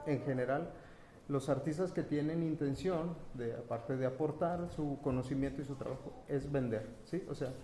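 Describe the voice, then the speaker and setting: Pitch varying in an ordinary way, a man's speech proceeds at a moderate speed. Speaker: printmaking artist and event organizer. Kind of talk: round table talk. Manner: halting; soft-spoken.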